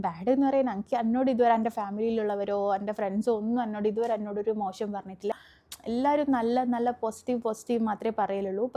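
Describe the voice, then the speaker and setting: Fairly even intonation in a North Kerala accent. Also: woman, fairly high pitch for a woman. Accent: Kannur dialect. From Kannur, Kerala, India. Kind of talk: casual, conversational.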